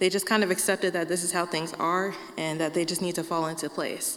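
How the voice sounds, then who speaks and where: The speaker has an ordinary speaking voice with fairly even intonation. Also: woman. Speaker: sign language interpreter. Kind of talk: prepared talk.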